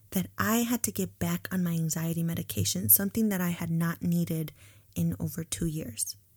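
In an animated, upbeat tone, a woman talks at a fairly low pitch, sounding somewhat breathy. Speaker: podcast host, student housing professional. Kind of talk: guided breathing meditation, calm and soothing, then casual chat. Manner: slow, soft, rhythmic and coaxing during breathing exercise; animated, candid, conversational, upbeat.

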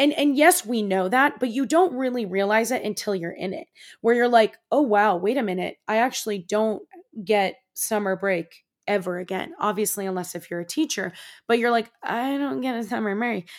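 An animated, moderately paced voice with lively intonation and a Californian accent. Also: woman, fairly high pitch for a woman. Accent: general American, Californian. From US West Coast, San Francisco Bay Area. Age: 20s. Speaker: podcast host and coach. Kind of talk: casual monologue.

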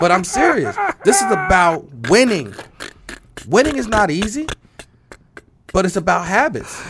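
Amid noticeable background noise, a man with an American accent and high pitch talks at a moderate pace in an animated tone, with very wide pitch swings and long, frequent pauses. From US Northeast, Trenton, New Jersey. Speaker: insurance agency leader. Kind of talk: interview.

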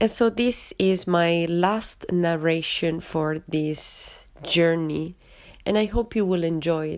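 This woman talks very slowly with an Italian accent. Her pitch is fairly low, with ordinary pitch variation. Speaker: podcast host, yoga and art teacher. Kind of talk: personal narration.

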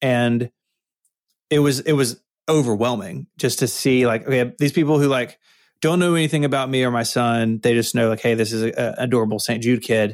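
A man with an American accent speaks at a fairly quick pace in a plain, everyday voice, medium-pitched with ordinary pitch variation, on a very clean recording with a silent background. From US South, Memphis, Tennessee. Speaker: podcast network co-founder. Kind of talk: interview conversation.

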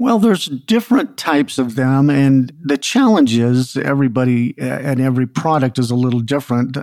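A man with a normal speaking voice talks at a moderate pace with hardly any pauses. His pitch is medium with ordinary variation, and his loudness stays very even. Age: 60s. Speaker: naturopathic doctor and supplement maker. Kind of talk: interview answers.

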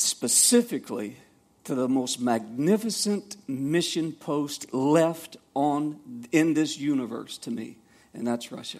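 A man with a Southern US accent, fairly high pitch and a very slow pace. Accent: Southern US (Georgia). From US South, Savannah, Georgia. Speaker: missionary. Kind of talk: testimony. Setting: church. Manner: halting.

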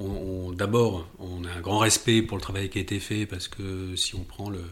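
Fairly low in pitch and somewhat breathy, a man talks in a monotone with flat intonation. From southern France, near Nice. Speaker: architect. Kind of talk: interview. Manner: halting.

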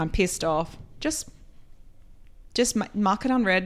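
A woman speaks at a moderate pace with an Australian accent and ordinary pitch variation. The recording is very clean, with a silent background. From rural Australia, Queensland. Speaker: company CEO. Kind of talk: interview.

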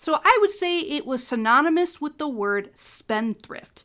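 Projecting a raised voice with a bright, sharp tone, a woman with a Midwestern American accent speaks in very wide pitch swings on a very clean recording with a silent background. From US Midwest, Ohio. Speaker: podcast host. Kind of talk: solo educational podcast. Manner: animated.

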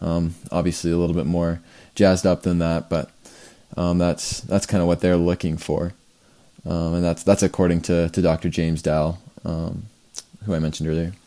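The intonation is monotone and flat. Its tone is dark and mellow. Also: man, very deep, low pitch for a man, moderate pace. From Canada. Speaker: pre-med student, podcast host. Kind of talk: solo podcast monologue.

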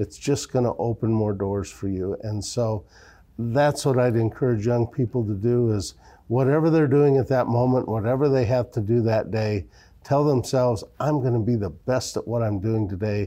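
This is a man with an Upper Midwest accent. His pitch sits in the medium range. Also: ordinary pitch variation, moderate pace, quiet background. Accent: Upper Midwest American. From Iowa, small-town. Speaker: bank executive. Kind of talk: interview. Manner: halting, many filler words.

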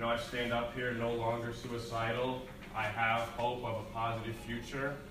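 In an American accent, a man at medium pitch speaks at a moderate pace with monotone, flat intonation and very even loudness, with audible room echo and noticeable background noise. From New Jersey, US. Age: 20s. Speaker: recovery program resident, former addict. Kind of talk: testimony.

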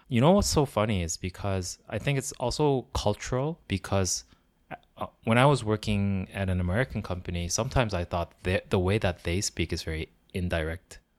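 In a very clean recording with a silent background and a dry, close sound with no echo, a man with a fairly low pitch speaks at a fairly quick pace with lively intonation. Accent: Korean. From South Korea, Gyeongsang region. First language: Korean. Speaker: podcast co-host. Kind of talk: casual chat.

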